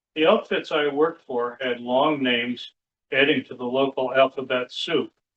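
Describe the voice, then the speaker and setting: A man speaks with an upstate New York accent. His medium-pitched voice holds fairly even intonation. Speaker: poet. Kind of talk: poetry reading with spoken commentary. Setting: public library reading with audience. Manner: casual, explanatory asides between poems.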